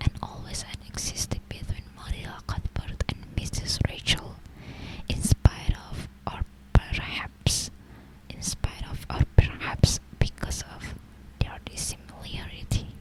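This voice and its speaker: A woman whispers at a fairly slow pace, with big swings in loudness. Noticeable background noise is present. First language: not English. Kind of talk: ASMR book reading. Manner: soft, slow, hesitant, stumbling over words.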